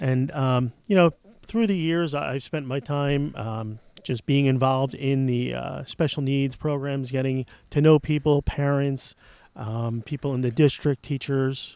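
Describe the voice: A man with an American accent speaks at a fairly slow pace and medium pitch, his clear, smooth, slightly mellow tone carrying fairly even intonation.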